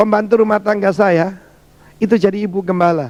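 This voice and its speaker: Quickish and high, a man's voice comes through at a fairly quick pace. His pitch sits high. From Indonesia, Surabaya (East Java). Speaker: pastor. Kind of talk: sermon. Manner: animated.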